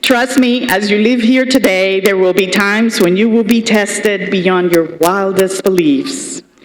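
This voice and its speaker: The speech comes at a fairly slow pace. Noticeable background noise and audible room echo are present. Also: woman. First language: Spanish. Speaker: commencement speaker, state senator. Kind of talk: commencement speech. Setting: stage with audience. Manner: formal.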